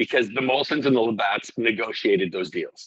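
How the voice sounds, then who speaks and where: A man with a Canadian accent has a plain, everyday voice at medium pitch. His intonation is lively. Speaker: restaurant owner. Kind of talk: casual interview chat.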